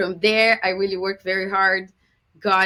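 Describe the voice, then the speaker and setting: A woman speaks with a Brazilian Portuguese accent at a moderate pace. Her tone is bright and sharp. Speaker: business consultant. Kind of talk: podcast interview.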